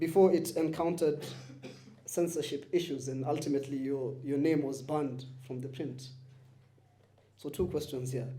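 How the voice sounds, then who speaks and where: A man with a fairly high, somewhat breathy voice and a dark, mellow tone speaks at a moderate pace with fairly even intonation and long, frequent pauses. Audible room echo surrounds the voice. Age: young. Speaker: interviewer, digital producer. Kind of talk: public interview. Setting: live event at a bookshop with audience.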